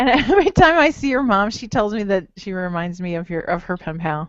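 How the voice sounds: At a fairly quick pace, a woman of medium pitch speaks with a slight Jersey Shore accent, big swings in loudness and very wide pitch swings. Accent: faint Jersey Shore.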